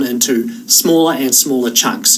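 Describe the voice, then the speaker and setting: Amid noticeable background noise and audible room echo, a man with a New Zealand accent talks at a fairly high pitch. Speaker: online course instructor. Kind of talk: tutorial. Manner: casual.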